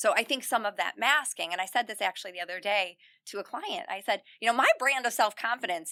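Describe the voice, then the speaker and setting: Loud and bright with a sharp tone, a fairly high-pitched woman talks at a fairly quick pace with lively intonation and hardly any pauses, recorded dry and close with no echo. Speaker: self-confidence coach for teen girls. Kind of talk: podcast interview. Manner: loud and smiley by her own account.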